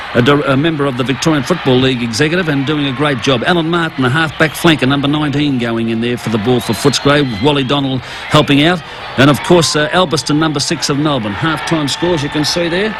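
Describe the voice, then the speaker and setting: This man's voice sits fairly high, with ordinary pitch variation. He talks very fast with hardly any pauses over noticeable background noise. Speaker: retired footballer. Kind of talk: sports commentary over old footage.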